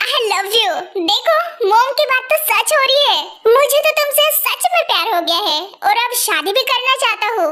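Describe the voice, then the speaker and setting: A woman puts on a character voice at an extremely high pitch with very wide pitch swings. Her loudness stays very even, and background noise is clearly audible. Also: fairly quick pace. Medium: voice reel. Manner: earnest, a little awkward.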